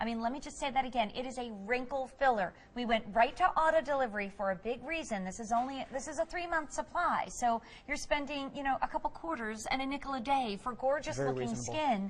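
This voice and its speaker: A woman speaks at a fairly quick pace in a high voice with lively intonation and an upbeat tone. Background noise is noticeable. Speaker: TV shopping host. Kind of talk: TV shopping presentation. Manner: upbeat, effusive.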